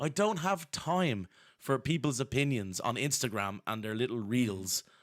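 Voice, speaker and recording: With a Dublin accent, a man speaks at a medium pitch and moderate pace, his voice making very wide pitch swings. The recording is very clean, the background silent. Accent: Irish (Dublin). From Ireland. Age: 40s. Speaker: historian. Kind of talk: casual chat. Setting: live-streamed podcast.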